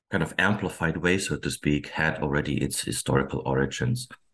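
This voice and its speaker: Against a quiet background, a man speaks at a moderate pace with vocal fry. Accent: German. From Germany. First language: German. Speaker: historian. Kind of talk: interview. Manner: halting.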